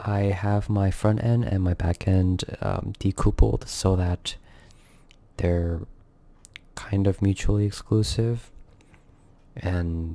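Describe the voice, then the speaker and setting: A quiet man with a fairly low pitch speaks at a very slow pace, using fairly even intonation and long, frequent pauses. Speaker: software developer vlogger. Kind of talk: coding tutorial walkthrough. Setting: home recording at night. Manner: quiet, kept down; subdued, solemn.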